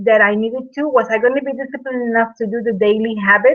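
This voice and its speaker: Speaking with a non-native accent, a woman uses a fairly high pitch and ordinary pitch variation. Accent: speaks English with an. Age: 40s. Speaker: network marketer, fitness product seller. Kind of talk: webinar presentation, personal testimony. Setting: online video hangout with slides. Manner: halting, many fillers and repeats.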